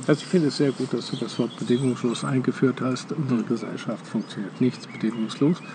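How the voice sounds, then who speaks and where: Over noticeable background noise, a man speaks at a very fast pace with hardly any pauses, using fairly even intonation at a medium pitch. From Germany. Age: 70s. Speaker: meditation teacher. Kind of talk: casual chat. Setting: outdoors.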